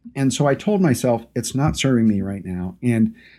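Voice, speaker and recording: A man's dark, mellow voice, fairly quick, with ordinary pitch variation on a very clean recording with a silent background. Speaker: podcast host and brand designer. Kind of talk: solo talk to camera and listeners.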